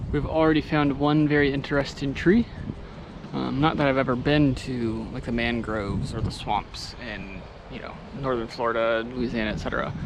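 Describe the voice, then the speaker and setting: Noticeable background noise surrounds this man's medium-pitched voice, which has normal pitch movement. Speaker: travel vlogger. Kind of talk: casual travel vlog narration. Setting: outdoors. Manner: casual, hesitant with fillers.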